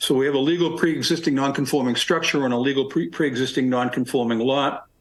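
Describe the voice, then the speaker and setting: The delivery comes at a very fast pace. Loudness stays very even and intonation fairly even. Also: man, fairly high pitch for a man. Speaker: attorney presenting a zoning appeal. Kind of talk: formal presentation at public hearing. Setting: town board public hearing. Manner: halting, many fillers and restarts.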